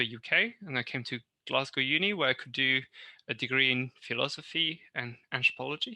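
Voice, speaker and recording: A man with a French accent speaks at a moderate pace in a bright, sharp tone. The recording is very clean with a silent background, and the sound is dry and close with no echo. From northern France. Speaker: university lecturer. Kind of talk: interview. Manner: halting, many fillers.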